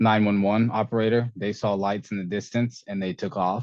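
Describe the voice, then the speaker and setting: A man with a plain, everyday voice speaks at a fairly low pitch with fairly even intonation against a quiet background. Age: 20s. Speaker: para-athlete ultrarunner. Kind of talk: interview.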